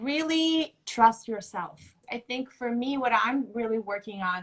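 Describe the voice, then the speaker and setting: A woman speaks with a Russian accent. Her pace is very slow. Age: 30s. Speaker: fashion model. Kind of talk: casual chat.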